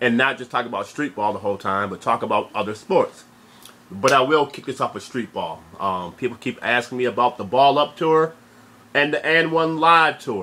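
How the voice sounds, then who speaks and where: Lively intonation from a man at a medium pitch, bright and sharp in tone, at a moderate pace. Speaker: sports vlogger. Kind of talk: casual vlog commentary.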